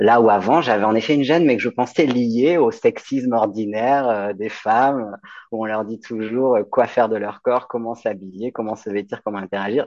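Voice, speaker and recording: A man with an ordinary speaking voice talks at a moderate pace, his medium pitch showing ordinary pitch variation. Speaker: midwife. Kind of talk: interview.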